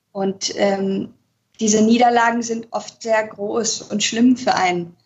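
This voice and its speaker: A woman's somewhat breathy, fairly high voice, fairly even in intonation and fairly slow in pace. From Spain. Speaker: musical performer and translator. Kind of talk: interview. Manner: hesitant with many fillers.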